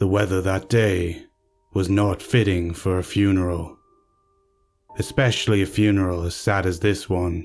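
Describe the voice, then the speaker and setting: Slow-paced with long, frequent pauses, a man speaks at a very deep, low pitch in a monotone, flat intonation. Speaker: narrator. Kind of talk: horror story narration.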